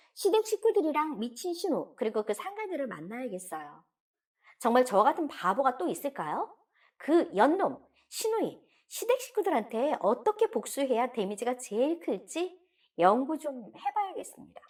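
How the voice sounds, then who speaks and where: A woman speaks at a moderate pace with a high pitch. Her pitch swings very widely. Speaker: story narrator reading a submitted story. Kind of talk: dramatic first-person confessional story reading (radio drama style).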